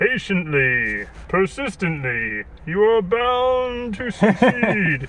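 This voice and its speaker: In a high-pitched, put-on character voice, a man speaks at a very slow pace over clear background noise. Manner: slow, calm, reassuring.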